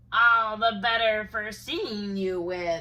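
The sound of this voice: A woman's put-on character voice, fairly high in pitch and very slow.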